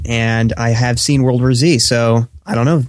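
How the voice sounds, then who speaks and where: This man has a plain, everyday voice, medium in pitch with ordinary pitch variation. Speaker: radio producer and movie reviewer. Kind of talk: casual chat. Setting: home mic, remote call.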